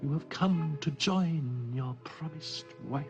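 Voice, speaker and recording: Over clear background music, a put-on character voice speaks at a low-to-middle pitch and a fairly slow pace. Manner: seductive, inviting.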